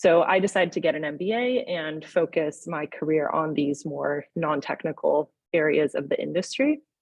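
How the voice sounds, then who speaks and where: With an American accent, a woman with a very deep, low pitch speaks at a moderate pace and ordinary pitch variation. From United States. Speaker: nuclear engineer and company founder. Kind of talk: panel webinar discussion.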